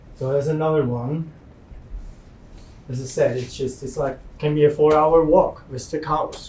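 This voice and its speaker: With noticeable background noise, a man with a fairly high pitch talks at a moderate pace in monotone, flat intonation, taking long, frequent pauses. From Switzerland. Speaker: farmer. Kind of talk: slide presentation talk.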